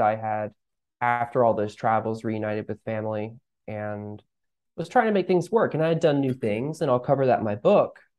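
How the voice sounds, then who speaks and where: A man talks at a moderate pace with medium pitch and ordinary variation. It is a plain, everyday voice. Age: 20s. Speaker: author and life coach. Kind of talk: interview conversation.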